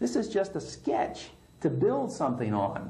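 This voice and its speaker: A man's voice swings very widely in pitch. Noticeable background noise runs under it. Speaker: prison inmate. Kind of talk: interview answer.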